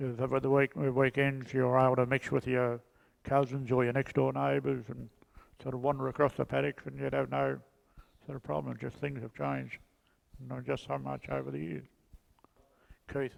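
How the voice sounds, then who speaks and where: In a rural Australian accent, a man speaks at a fairly quick pace with long, frequent pauses, fairly low pitch, very wide pitch swings and big swings in loudness. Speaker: local resident sharing memories. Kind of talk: group reminiscence. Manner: halting.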